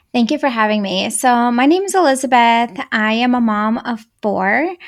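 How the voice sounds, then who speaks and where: With a Russian accent, a woman speaks at a moderate pace in a high pitch, her intonation lively. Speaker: anger management coach for moms. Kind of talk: podcast interview.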